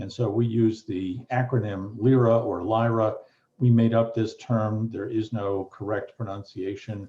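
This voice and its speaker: A man's somewhat breathy voice with an American accent, monotone and flat, at a fairly slow pace. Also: medium pitch for a man. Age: 60s. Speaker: retired law professor and mediator. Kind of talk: interview conversation.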